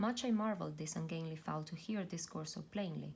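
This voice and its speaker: A woman speaks softly with a fairly low pitch. Her voice is somewhat breathy. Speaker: YouTube book reader / ASMR reader. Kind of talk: poetry reading, soft-spoken ASMR-style reading aloud. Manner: soft-spoken, gentle.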